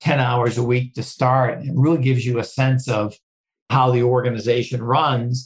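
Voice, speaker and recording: A man's somewhat breathy, medium-pitched voice with an American accent and flat, monotone intonation. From Boston, Massachusetts. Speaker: non-profit CEO. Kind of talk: interview.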